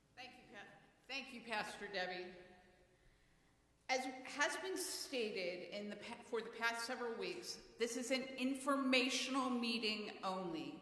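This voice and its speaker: A woman speaks at a fairly slow pace in a fairly high voice, with audible echo from the room. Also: lively intonation, big swings in loudness. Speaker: congregation council leader chairing a meeting. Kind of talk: meeting chairing. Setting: church. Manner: loud.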